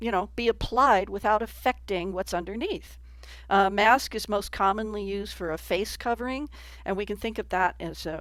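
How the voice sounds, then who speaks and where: A woman's medium-pitched voice with vocal fry, a moderate pace and ordinary pitch variation, on a very clean recording with a silent background. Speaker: papercraft artist and tutorial maker. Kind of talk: tutorial. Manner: casual, with fillers and restarts.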